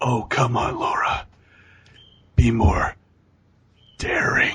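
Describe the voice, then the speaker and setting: Using a put-on character voice, a man speaks raspily at a very slow pace. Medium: solo performance. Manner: creepy, falsely polite.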